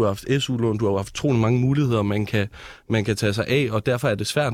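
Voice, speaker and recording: A man talks in a normal speaking voice at medium pitch and a fairly quick pace, with fairly even intonation. The recording is very clean, the background silent. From Hellerup, Copenhagen area. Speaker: youth politician, student. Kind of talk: political debate.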